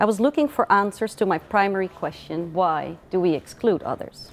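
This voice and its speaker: With a Dutch accent, a woman speaks using lively intonation. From Netherlands. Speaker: author. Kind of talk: book presentation.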